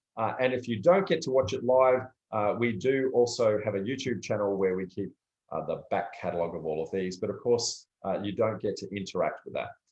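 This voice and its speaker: Speaking at a fairly quick pace, a man with an Australian accent uses medium pitch and lively intonation. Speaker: property development educator. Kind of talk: live stream talk. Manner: casual, many filler words.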